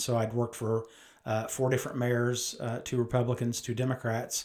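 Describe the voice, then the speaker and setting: A man with a Midwestern American accent, medium pitch and monotone, flat intonation at a moderate pace. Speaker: mayor. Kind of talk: conversational interview.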